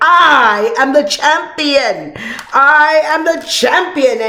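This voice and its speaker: Putting on a character voice, a woman speaks very slowly in a high pitch with lively intonation. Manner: taunting, boastful.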